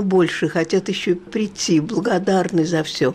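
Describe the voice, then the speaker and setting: The speech moves at a very slow pace, with noticeable background noise. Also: woman. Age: 80s+. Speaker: retired museum guide. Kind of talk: interview.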